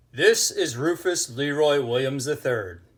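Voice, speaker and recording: A man uses a put-on character voice, fairly high in pitch, at a fairly slow pace. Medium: read story.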